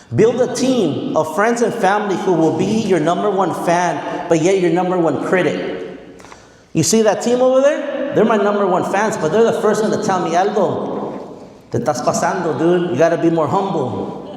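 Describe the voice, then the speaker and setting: Through noticeable background noise, a high-pitched man speaks in an animated tone at very even loudness. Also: lively intonation, moderate pace. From Mexicali, Mexico and central coast California. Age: 40s. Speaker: motivational speaker, educator. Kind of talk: motivational speech.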